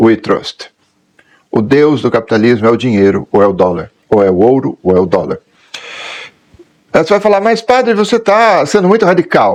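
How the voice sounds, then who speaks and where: A man speaks with very wide pitch swings. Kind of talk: catechetical talk.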